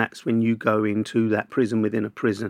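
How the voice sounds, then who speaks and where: A man with a South London accent speaks at medium pitch and a moderate pace. The sound is dry and close with no echo, the background quiet. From Southeast London (Camberwell). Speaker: journalist and broadcaster. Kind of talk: casual interview.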